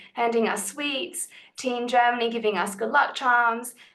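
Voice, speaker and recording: A woman with an Australian accent speaks at a moderate pace in a high pitch. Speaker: lawyer. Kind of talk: panel talk.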